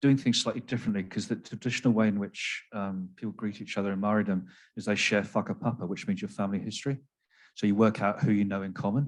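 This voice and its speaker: A man with an English accent talks at a very fast pace. His pitch is fairly low and his intonation fairly even. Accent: English accent, noticeable. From England, Devon. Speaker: psychiatrist. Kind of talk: panel discussion. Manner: halting, many fillers and repeats.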